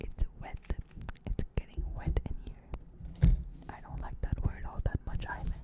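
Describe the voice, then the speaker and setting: Whispered speech, fairly slow, broken by long and frequent pauses. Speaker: barista. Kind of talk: ASMR whisper talk to camera. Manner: soft-spoken, hesitant, reflective.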